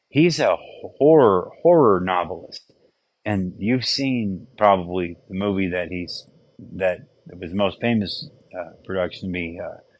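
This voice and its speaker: This man's pitch is fairly low and his intonation lively. He speaks at a fairly slow pace. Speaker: teacher. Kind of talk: literature lecture. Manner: casual, hesitant.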